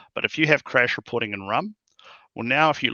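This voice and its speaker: This man talks at a very fast pace with a New Zealand accent. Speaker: tech company founder and CEO. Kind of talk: interview.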